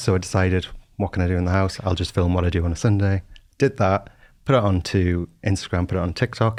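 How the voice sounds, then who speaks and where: A man with a Geordie accent, very deep and low in pitch, at a fairly quick pace, on a very clean recording with a silent background. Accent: Geordie, coastal variety. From Newcastle, northeast England (Whitley Bay). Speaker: cleaning influencer. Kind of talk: casual chat.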